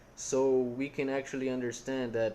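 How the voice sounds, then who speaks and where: In a Portuguese accent, a man talks at a moderate pace with a dark, mellow tone. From Brazil. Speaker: content creator. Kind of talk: casual chat. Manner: halting, with repetitions.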